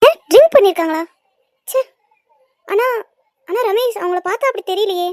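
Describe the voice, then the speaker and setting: In a put-on character voice, a woman squeaks at an extremely high pitch, her intonation lively and her pace moderate, the sound dry and close with no echo. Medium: cartoon. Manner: soft-spoken, polite.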